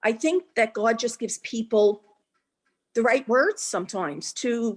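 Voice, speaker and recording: A woman speaks in a plain, everyday voice, fairly high and with lively intonation. Her pace is fairly slow, and the sound is dry and close with no echo. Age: 60s. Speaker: class participant. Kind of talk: casual chat, personal testimony. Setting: video call.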